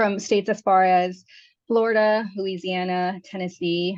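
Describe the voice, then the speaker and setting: A woman speaks in a medium pitch with a Spanish accent. The sound is dry and close with no echo, against a quiet background. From California, Mexican-American. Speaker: physician and abortion provider. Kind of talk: webinar panel discussion.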